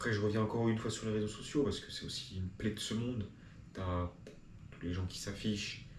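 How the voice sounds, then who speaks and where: With audible room echo, a man talks at a fairly quick pace in a somewhat breathy, fairly low voice, his intonation fairly even. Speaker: video blogger. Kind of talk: improvised monologue to camera. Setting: talking to a camera.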